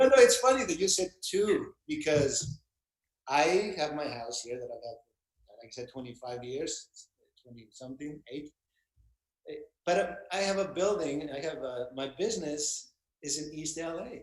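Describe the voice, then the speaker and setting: Speaking at a moderate pace, a man with a fairly high pitch uses lively intonation, big swings in loudness and long, frequent pauses. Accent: Mexican. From Mexico, Baja California. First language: Spanish. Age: 50s. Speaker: actor and voiceover artist, business owner. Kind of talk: interview, casual chat.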